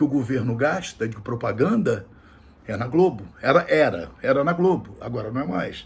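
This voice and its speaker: At a moderate pace, a man speaks in a somewhat breathy voice with very wide pitch swings. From Brazil. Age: 60s. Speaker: political commentator. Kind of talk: political commentary monologue. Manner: halting, repetitive.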